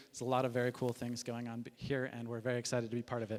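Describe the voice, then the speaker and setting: With an American accent, a man talks very fast in a medium pitch and a monotone, flat intonation. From US Midwest, Chicago. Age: 30s. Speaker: company founder and CEO. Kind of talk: presentation. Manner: casual with frequent fillers.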